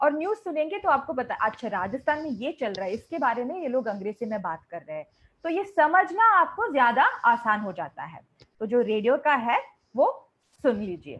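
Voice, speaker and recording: With a Malayali accent, a woman speaks at a moderate pace in a high voice, her pitch swinging very widely and her loudness rising and falling a lot. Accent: Malayalam-accented Hindi. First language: Malayalam (speaking Hindi). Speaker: English teacher. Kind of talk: online interactive class.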